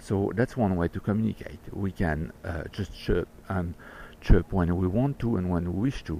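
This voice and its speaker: A man with a French accent speaks at a moderate pace in a very deep, low pitch and a dark, mellow tone. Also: ordinary pitch variation. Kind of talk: personal video message. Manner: halting.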